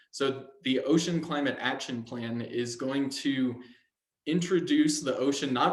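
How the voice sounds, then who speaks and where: At a moderate pace, a man with a medium pitch and fairly even intonation talks in a room with audible echo. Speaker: ocean policy advocate. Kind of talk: webinar presentation.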